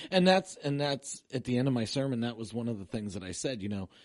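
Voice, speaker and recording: A man speaks with an unremarkable speaking voice. He talks at a fairly quick pace with lively intonation. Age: 50s. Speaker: pastor. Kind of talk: casual chat. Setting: studio.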